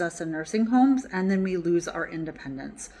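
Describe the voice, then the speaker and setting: Here is a woman with an unremarkable speaking voice. She talks at a moderate pace in a medium pitch. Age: 40s. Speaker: health coach and holistic nutritionist. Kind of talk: casual talk to camera.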